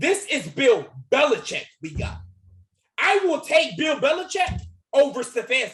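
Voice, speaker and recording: Loud and animated, a man with an extremely high pitch speaks at a fairly slow pace, with lively intonation and long, frequent pauses. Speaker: sports YouTuber. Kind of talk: heated sports debate.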